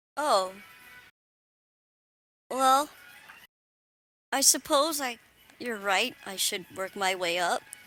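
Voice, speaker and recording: A woman mumbles in a put-on character voice, fairly high and with lively intonation. She goes at a very slow pace with long, frequent pauses. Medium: actual play. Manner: hesitant, mumbling.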